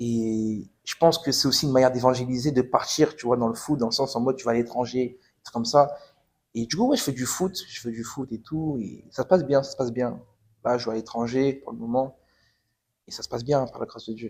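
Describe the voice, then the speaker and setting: In a plain, everyday voice, a man talks at a fairly quick pace at a medium pitch, his intonation fairly even and his loudness swinging widely. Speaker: footballer giving testimony. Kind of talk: testimony. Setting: podcast interview. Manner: casual, repetitive.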